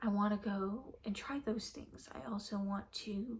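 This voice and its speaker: A woman with an American accent speaks in a medium pitch with a somewhat breathy voice. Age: 20s. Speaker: lifestyle vlogger. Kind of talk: casual vlog rant. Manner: rambling with many fillers.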